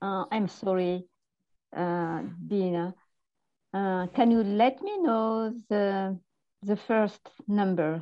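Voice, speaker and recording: A woman with a French accent speaks very slowly at a medium pitch with ordinary variation. She leaves long, frequent pauses. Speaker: spiritual counseling student. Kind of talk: casual chat on video call.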